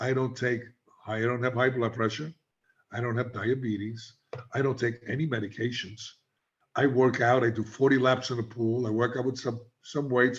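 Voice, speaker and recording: A man's somewhat breathy, medium-pitched voice in monotone, flat intonation, at a moderate pace with long, frequent pauses. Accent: New York. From New York City (South Bronx). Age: 70s. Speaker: addiction treatment specialist. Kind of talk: interview. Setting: podcast.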